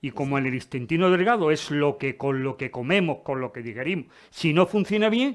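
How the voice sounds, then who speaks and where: An ordinary speaking voice, a man's, fairly high, with lively intonation at a fairly quick pace over a quiet background. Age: 60s. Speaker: retired urologist giving a talk. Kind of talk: Q&A after a lecture. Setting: lecture hall with audience.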